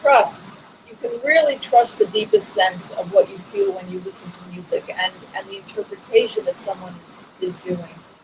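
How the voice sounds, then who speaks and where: The voice moves at a moderate pace with big swings in loudness. Noticeable background noise can be heard. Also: woman. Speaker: pianist and music teacher; music teacher. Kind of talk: casual chat. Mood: warm, enthusiastic. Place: home room. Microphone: video call.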